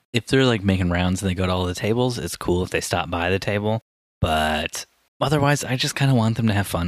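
In an American accent, a man speaks at a very fast pace with a fairly low pitch and ordinary pitch variation, captured in a very clean recording with a silent background and a dry, close sound with no echo. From US Midwest. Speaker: podcast host. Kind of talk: casual chat. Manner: joking.

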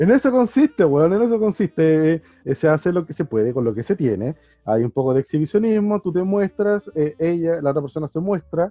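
At a fairly quick pace, a man with a high pitch speaks in very wide pitch swings. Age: 30s. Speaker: podcast co-host, biologist. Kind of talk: casual chat.

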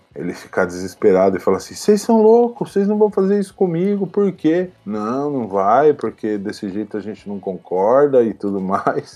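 This man has a normal speaking voice, with lively intonation and a moderate pace. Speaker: professional wrestler. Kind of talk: interview.

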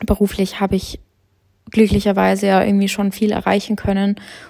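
In a dark, mellow tone, a woman speaks in a flat monotone. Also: long, frequent pauses. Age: 20s. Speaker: podcast host and content creator. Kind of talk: casual solo monologue. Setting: at home on the couch. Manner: chatty, with many filler sounds.

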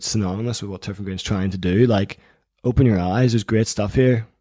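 A man with a dark, mellow tone and a Northern Irish accent speaks on a very clean recording with a silent background. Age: 20s. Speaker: magazine editor and accountant. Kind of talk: interview conversation.

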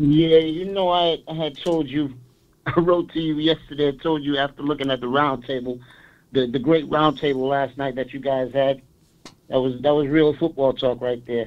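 A man talks in a normal speaking voice at a moderate pace. His pitch sits fairly high. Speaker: caller. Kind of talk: call-in sports talk. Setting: phone call.

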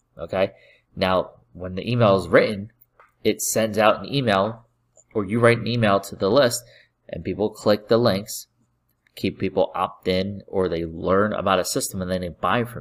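On a very clean recording with a silent background, a man with an ordinary speaking voice and a fairly low pitch shows big swings in loudness. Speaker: podcast host and online marketer. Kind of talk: sales pitch. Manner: pushy pitchman, upbeat and persuasive, hyping easy money and leads; fast, repetitive, direct-address patter with catchphrases.

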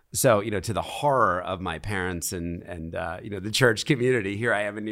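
An ordinary speaking voice with an American accent at a moderate pace, in a very clean recording with a silent background. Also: man. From US Northeast, Philadelphia. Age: 40s. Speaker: charity founder and CEO. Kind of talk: casual interview. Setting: in person at a conference in Miami.

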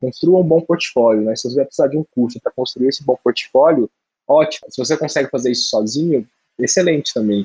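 A man's fairly high, somewhat breathy voice with a dark, mellow tone, very fast pace, ordinary pitch variation, and a dry, close sound with no echo. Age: 20s. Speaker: UX designer. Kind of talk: casual chat.

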